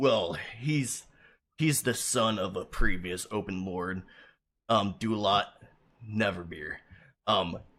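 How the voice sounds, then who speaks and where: Using a put-on character voice, a man sounds raspy and fairly low at a fairly slow pace, with ordinary pitch variation and long, frequent pauses on a very clean recording with a silent background. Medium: actual play. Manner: hesitant, filler-heavy.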